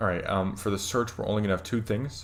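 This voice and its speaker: Music plays in the background, and audible room echo surrounds the voice. A man speaks with a fairly low pitch and fairly even intonation. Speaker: programming tutorial streamer. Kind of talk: tutorial. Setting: live stream. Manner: hesitant, many fillers.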